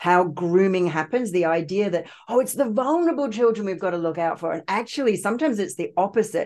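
Barely pausing, a woman talks at a very fast pace with lively intonation. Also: medium pitch for a woman. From Australia. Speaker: trauma therapist and author. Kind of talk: interview testimony.

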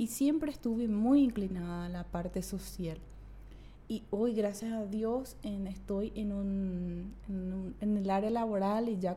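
In a room with audible echo, a woman speaks at a fairly slow pace, her medium pitch showing ordinary variation. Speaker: women's rights advocate. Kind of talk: interview conversation. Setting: studio.

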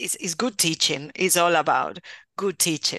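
With a Spanish accent, a woman speaks at a moderate pace in a fairly low pitch, her bright, sharp tone delivered with fairly even intonation in a dry, close sound with no echo and a quiet background. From Spain, Valencia region. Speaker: university professor, bilingual education. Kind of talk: interview conversation.

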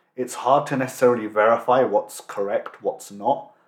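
A man with a British accent, medium pitch, ordinary pitch variation and a moderate pace. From England. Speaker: podcast host. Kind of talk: interview.

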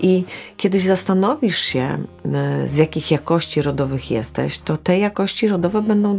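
Lively intonation from a woman at a medium pitch, fairly quick, with noticeable background noise. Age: 50s. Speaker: holistic therapist. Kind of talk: solo podcast monologue. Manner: hesitant, with fillers.

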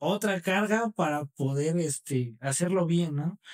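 A man's very slow pace and ordinary pitch variation, in a dry, close sound with no echo. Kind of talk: casual interview.

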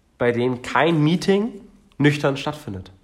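A man with a normal speaking voice uses lively intonation at a fairly slow pace. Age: 20s. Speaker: podcast co-host. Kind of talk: casual chat.

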